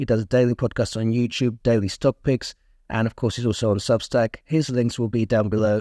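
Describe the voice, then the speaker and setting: With a dark, mellow tone and medium pitch, a man speaks at a moderate pace, the sound dry and close with no echo on a very clean recording with a silent background. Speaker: investing podcast host. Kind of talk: podcast intro and interview.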